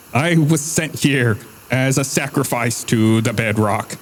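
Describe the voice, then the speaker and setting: Putting on a character voice, a man talks at a fairly slow pace and medium pitch. Background noise is clearly audible. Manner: bleating, goat-like.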